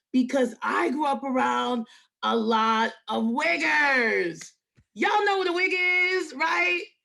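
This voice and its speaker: Here a woman speaks in a New York accent with a raised, projected voice. Her pitch is high and her tone bright and sharp. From New York, Queens. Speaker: comedian. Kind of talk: stand-up.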